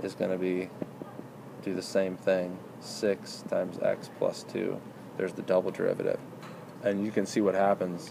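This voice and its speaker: A man talks at a moderate pace with a fairly low pitch. There is noticeable background noise. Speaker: math tutor. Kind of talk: tutoring session.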